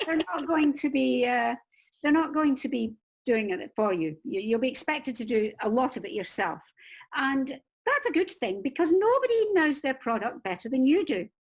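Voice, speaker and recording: On a very clean recording with a silent background, a woman with a Scottish accent speaks at a moderate pace in a high voice whose pitch swings very widely. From Scotland. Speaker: crime novelist and book marketing coach. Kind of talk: interview giving advice. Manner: animated.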